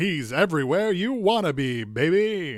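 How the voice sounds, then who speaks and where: A man adopts a high-pitched, put-on character voice and talks at a middling speed. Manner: showy parody commercial lilt.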